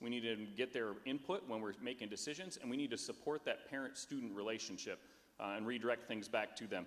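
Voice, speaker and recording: This man talks very fast at a medium pitch, with ordinary pitch variation. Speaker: school board candidate. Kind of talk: candidate forum answer. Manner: loud.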